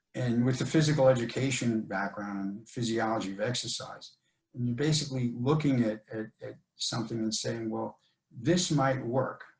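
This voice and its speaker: A man with a somewhat breathy voice speaks at a moderate pace and a medium pitch. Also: ordinary pitch variation. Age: 70s. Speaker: jiu-jitsu brown belt and strength coach. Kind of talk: interview.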